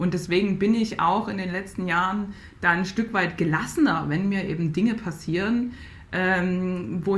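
Somewhat breathy, a woman of medium pitch talks at a moderate pace with ordinary pitch variation and audible room echo. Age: 30s. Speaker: Paralympic athlete and mental coach. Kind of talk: interview conversation. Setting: video call. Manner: halting, many repetitions.

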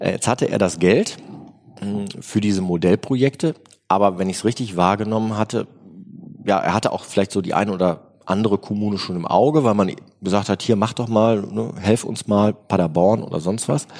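Long pauses come frequently in this speech. Otherwise it moves at a moderate pace, and its pitch variation is ordinary. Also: man, fairly low pitch for a man. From Germany, Bergisches Land (Remscheid). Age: 40s. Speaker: state politician and lawyer. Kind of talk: interview.

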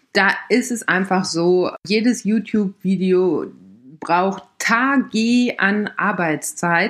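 Against a very clean recording with a silent background, a woman speaks at a very slow pace, her medium pitch showing ordinary variation. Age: 30s. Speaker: podcast host and camping blogger. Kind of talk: casual monologue. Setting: home recording at laptop.

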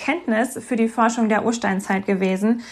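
Here a woman speaks at a moderate pace. Her pitch is fairly high and her intonation fairly even. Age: 30s. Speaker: politician and teacher. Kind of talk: interview. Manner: hesitant with fillers.

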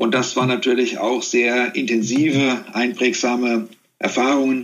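A plain, everyday voice from a man, medium in pitch and moderate in pace. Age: 50s. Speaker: corporate communications executive. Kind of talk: interview.

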